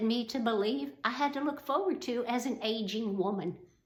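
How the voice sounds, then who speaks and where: In audible room echo, a woman speaks at a fairly high pitch with very wide pitch swings. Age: 60s. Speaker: fitness content creator. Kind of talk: casual vlog talk to camera.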